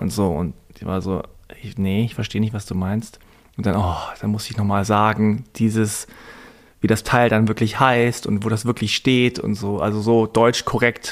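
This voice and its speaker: At a moderate pace and a fairly low pitch, a man talks with fairly even intonation and long, frequent pauses. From Germany. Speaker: journalist and podcaster. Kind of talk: interview conversation.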